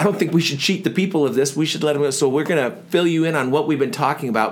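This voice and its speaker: A man's fairly high-pitched voice with lively intonation. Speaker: podcast co-host. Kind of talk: casual chat. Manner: put-on radio voice in the show opening.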